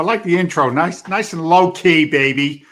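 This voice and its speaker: A man with a Boston accent speaks in a high voice with ordinary pitch variation, recorded very cleanly against a silent background. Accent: English with a Boston twang. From England, London. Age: 60s. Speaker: real estate investor and trainer, former firefighter. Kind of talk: podcast interview. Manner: casual, halting with repetitions.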